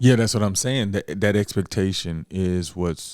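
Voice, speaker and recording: Very clean recording, silent background. A man talks at a fairly low pitch with fairly even intonation. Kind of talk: casual chat. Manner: fast.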